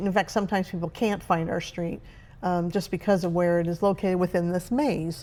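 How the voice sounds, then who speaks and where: The woman's voice rests at a medium pitch, her intonation fairly even. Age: 60s. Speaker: retiree vlogger. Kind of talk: casual vlog monologue. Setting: at home. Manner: hesitant, many fillers.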